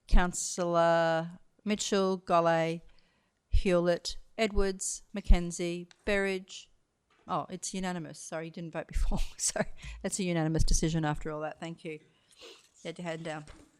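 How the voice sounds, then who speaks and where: A woman speaks with an Australian accent in a fairly low pitch. Her intonation is monotone and flat, and the recording is very clean with a silent background. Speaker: council meeting chair. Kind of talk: formal meeting procedure. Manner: fast.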